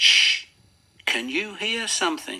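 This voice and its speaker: A put-on character voice, raspy and fairly high-pitched. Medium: read story.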